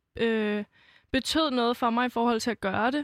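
The recording is very clean, with a silent background and a dry, close sound with no echo. A woman speaks at a moderate pace with high pitch and fairly even intonation. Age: 20s. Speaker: singer-songwriter. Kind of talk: casual interview.

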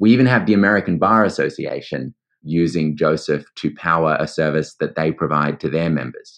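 Pitched very deep and low, a man talks at a fairly quick pace with lively intonation and vocal fry. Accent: Australian. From Australia. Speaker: startup CEO, former lawyer. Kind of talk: interview conversation.

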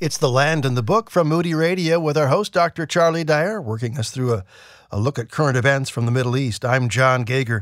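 With a plain, everyday voice, a man speaks at a fairly quick pace and fairly high pitch, his pitch varying in an ordinary way, in a very clean recording with a silent background. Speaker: radio co-host and announcer.

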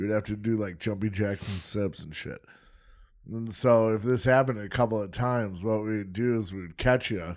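Fairly low-pitched and with fairly even intonation, a man speaks in a normal speaking voice with big swings in loudness. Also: moderate pace, very clean recording, silent background. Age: 30s. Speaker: podcast co-host. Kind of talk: casual chat.

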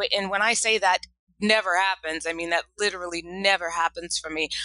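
A woman speaks at a moderate pace in a medium pitch, her bright, sharp tone and fairly even intonation caught in a dry, close sound with no echo. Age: 40s. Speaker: entrepreneur and whiskey brand founder. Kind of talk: interview.

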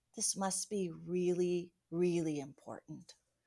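Speaking at a very slow pace, a woman is heard on a very clean recording with a silent background. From Venezuela, Amazon jungle (missionary kid). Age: 50s. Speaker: missionary. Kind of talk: testimony.

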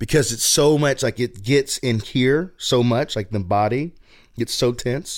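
In a Southern US accent, a man talks at a moderate pace and medium pitch with ordinary pitch variation, on a very clean recording with a silent background. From US South, Chattanooga, Tennessee. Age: 30s. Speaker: youth and college pastor. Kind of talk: casual interview.

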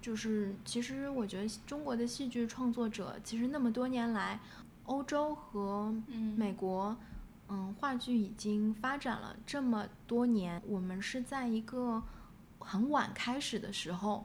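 At a fairly slow pace, a woman with a fairly high, somewhat breathy voice shows ordinary pitch variation, with audible room echo around her. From Shanghai, China. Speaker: playwright. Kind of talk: interview conversation. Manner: halting, many fillers.

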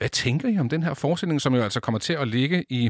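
A man with lively intonation at a very fast pace. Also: dry, close sound with no echo, very clean recording, silent background. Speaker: radio host. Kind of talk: radio talk show.

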